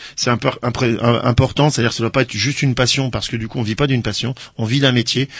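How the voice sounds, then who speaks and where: The speaker talks at a very fast pace, somewhat breathy, with fairly even intonation. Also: man. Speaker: animal-assisted therapy practitioner. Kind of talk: radio interview. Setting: radio studio.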